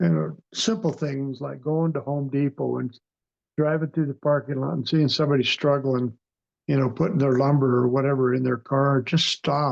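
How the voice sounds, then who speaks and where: Moderate pace and ordinary pitch variation in a man's fairly high voice. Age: 60s. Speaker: near-death experiencer. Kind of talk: interview testimony. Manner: halting.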